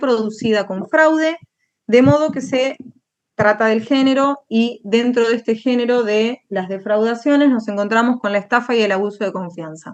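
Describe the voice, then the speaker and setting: A woman talks in a high pitch at a moderate pace, with ordinary pitch variation. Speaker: law lecturer. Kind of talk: lecture.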